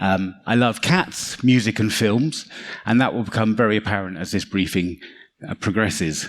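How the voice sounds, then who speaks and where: A man's fairly low voice in a London accent, at a moderate pace with ordinary pitch variation. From London, England. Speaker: cybersecurity consultant. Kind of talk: conference talk.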